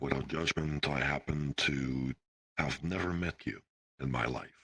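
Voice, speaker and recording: Using a put-on character voice, a man speaks at a moderate pace with a very deep, low pitch and fairly even intonation. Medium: game stream. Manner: stiff, formal, evasive.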